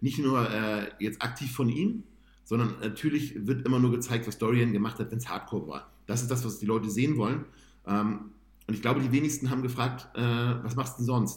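Fairly even intonation marks this man's somewhat breathy voice. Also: medium pitch for a man, fairly quick pace. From northern Germany, Hamburg-Bergedorf. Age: 30s. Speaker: amateur bodybuilder. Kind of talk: casual interview.

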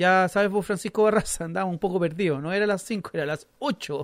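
A man talks at a fairly quick pace with ordinary pitch variation. The sound is dry and close, with no echo. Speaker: radio host. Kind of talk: radio show with phone interviews.

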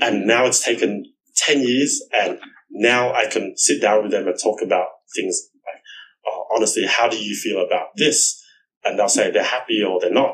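An Australian accent marks this male speaker. He keeps to a moderate speed. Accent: Australian-accented Vietnamese. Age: 30s. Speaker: real estate executive, former tutor. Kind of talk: casual interview.

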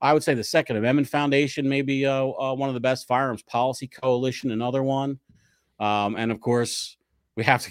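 A man's plain, everyday voice, medium in pitch, with an American accent, fairly quick and fairly even in intonation, on a very clean recording with a silent background. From US Northeast, South Jersey near Philadelphia. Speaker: lawyer and political writer. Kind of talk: casual interview.

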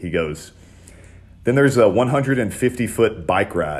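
With vocal fry and very wide pitch swings, a man speaks at a medium pitch. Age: 30s. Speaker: podcast host and ex-wrestler. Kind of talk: casual chat.

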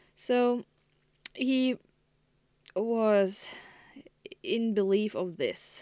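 A woman with a German accent speaks at a very slow pace, with long, frequent pauses. Her fairly high voice has a dark, mellow tone and ordinary pitch variation. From Germany. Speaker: podcast host. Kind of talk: solo monologue. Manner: halting.

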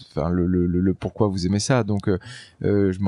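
Against a quiet background, a man talks with a dark, mellow tone at a fairly low pitch. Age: 40s. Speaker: offshore racing skipper. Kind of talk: casual interview. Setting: aboard a trimaran in port. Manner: halting, many fillers.

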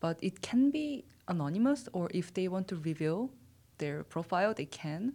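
Speaking at a moderate pace with a Korean accent, a woman has a dark, mellow tone at medium pitch and very wide pitch swings. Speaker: HR staff. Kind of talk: casual interview.

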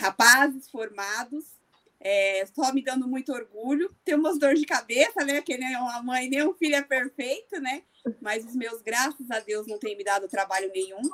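A woman talks at a high pitch and a moderate pace with ordinary pitch variation. The sound is dry and close, with no echo. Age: 40s. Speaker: amateur runner and running group admin. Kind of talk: podcast interview.

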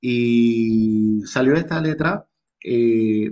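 A man with a Panamanian accent talks at a medium pitch with ordinary pitch variation. The sound is dry and close, with no echo. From Panama, Colón province (Costa Abajo). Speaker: singer-songwriter. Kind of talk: interview. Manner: halting, many repetitions.

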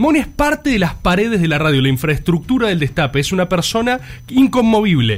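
With very wide swings in pitch, the talker keeps up a fairly quick tempo. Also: man, high pitch for a man. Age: 20s. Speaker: radio podcast co-host. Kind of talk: casual panel chat.

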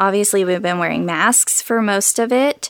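With ordinary pitch variation, a normal speaking voice moves along at a moderate pace. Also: woman. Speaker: worship leader and singer-songwriter. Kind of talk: casual interview chat.

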